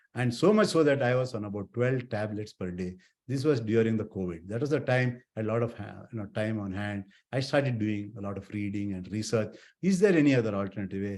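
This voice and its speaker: The recording is very clean, its background silent. A man talks fairly quickly in a plain, everyday voice, with ordinary pitch variation. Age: 60s. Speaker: eye surgeon. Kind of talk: health talk.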